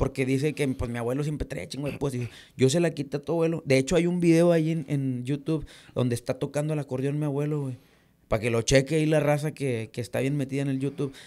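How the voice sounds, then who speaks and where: Very fast and fairly even in intonation, a man talks with a dark, mellow tone at a fairly high pitch. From Reynosa, Tamaulipas, Mexico; Tamaulipas, Mexico. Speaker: norteño musician; podcast guest. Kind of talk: casual interview. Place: studio. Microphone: studio mic.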